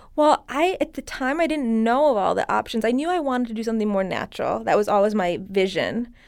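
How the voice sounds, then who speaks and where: A woman speaks very fast with an American accent, fairly high pitch and lively intonation. The recording is very clean, with a silent background. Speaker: skincare specialist. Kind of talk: casual interview.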